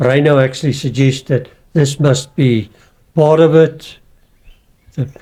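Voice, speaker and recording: A somewhat breathy man with a fairly high pitch, a dark, mellow tone, fairly even intonation, a fairly slow pace and long, frequent pauses. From South Africa. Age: 70s. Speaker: veteran marathon runner and author. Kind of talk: podcast interview.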